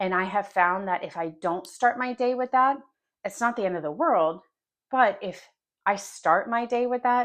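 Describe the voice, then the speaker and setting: With an American accent and a plain, everyday voice, a woman speaks at a medium pitch and moderate pace with lively intonation over a quiet background. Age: 40s. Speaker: lifestyle vlogger. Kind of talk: casual monologue.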